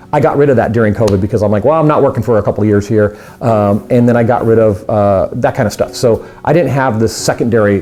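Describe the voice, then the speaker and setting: A man's medium-pitched voice at a very fast pace, very even in loudness with ordinary pitch variation, over noticeable background noise. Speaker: magician. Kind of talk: personal testimony vlog. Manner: halting, with repetitions.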